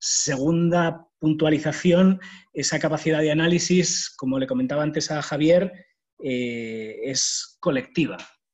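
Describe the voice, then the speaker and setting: With a Spanish accent, a man speaks at a fairly slow pace and a fairly high pitch, using ordinary pitch variation. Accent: Spanish (Spain). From Spain. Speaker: university staff, speaker on volunteering. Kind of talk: online talk. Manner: hesitant, many fillers.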